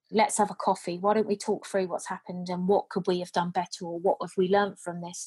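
A woman with a British accent talks at a very fast pace and a medium pitch, somewhat breathy, with hardly any pauses, in a dry, close recording with no echo against a quiet background. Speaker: care home manager. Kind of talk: interview. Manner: upbeat.

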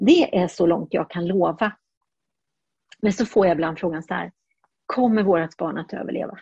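The voice is dark, mellow and somewhat breathy, with ordinary pitch variation. It moves at a moderate pace with long, frequent pauses. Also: woman, medium pitch for a woman. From Burundi (Swedish missionary family). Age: 60s. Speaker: neonatal nurse. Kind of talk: interview.

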